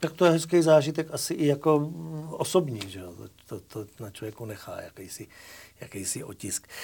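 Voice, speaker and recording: A man with a fairly high pitch speaks at a moderate pace in a dark, mellow, somewhat breathy tone, his pitch swinging very widely and his loudness rising and falling sharply. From Moravia, Czechia. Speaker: talk show host. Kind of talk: casual interview.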